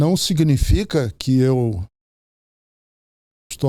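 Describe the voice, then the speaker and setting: A man's voice with a dark, mellow tone. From Brazil, Ceará. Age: 70s. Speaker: pastor. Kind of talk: podcast interview.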